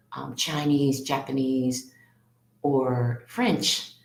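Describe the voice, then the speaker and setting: This woman has an American accent and a very deep, low pitch. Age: 60s. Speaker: elementary school English teacher. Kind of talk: casual interview.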